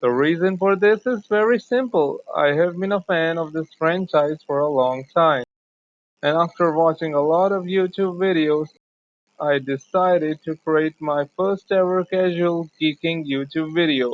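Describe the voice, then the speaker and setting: At a fairly slow pace, the words come out in a non-native accent. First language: not English. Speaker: gaming YouTuber. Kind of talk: gameplay commentary.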